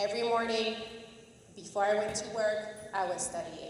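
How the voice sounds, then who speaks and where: A woman's fairly high voice in a French accent at a moderate pace, with audible room echo and noticeable background noise. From France. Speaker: judicial candidate, prosecutor. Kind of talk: campaign speech. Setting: public forum with audience, microphone.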